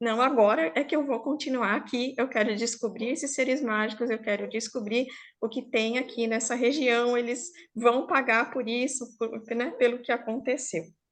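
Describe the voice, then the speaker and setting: At a moderate pace and with fairly even intonation, the voice comes through against a quiet background. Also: woman, high pitch for a woman. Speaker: storyteller. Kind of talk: oral storytelling to a live online group. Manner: informal, conversational.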